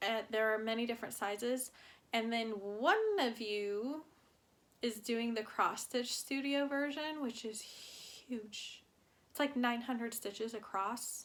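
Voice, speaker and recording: A woman with a fairly high pitch talks at a fairly slow pace in a normal speaking voice. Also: ordinary pitch variation. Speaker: cross-stitch vlogger. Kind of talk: casual chat. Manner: relaxed, many fillers.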